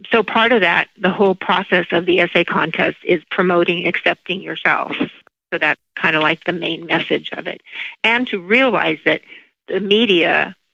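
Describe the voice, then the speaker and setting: With an unremarkable speaking voice, a woman talks at a moderate speed. Her pitch is medium and varies in an ordinary way. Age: 60s. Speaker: eating disorder nonprofit founder. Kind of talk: podcast interview.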